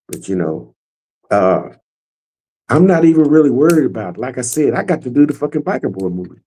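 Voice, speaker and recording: With a dark, mellow tone and vocal fry, a man at a medium pitch talks at a fairly quick pace, swinging his pitch very widely and taking long, frequent pauses. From Arkansas (Little Rock). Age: 70s. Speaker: motorcycle club co-founder. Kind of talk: casual interview chat.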